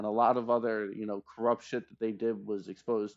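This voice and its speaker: A man's voice at a medium pitch. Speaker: streamer. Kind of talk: heated debate. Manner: halting; animated.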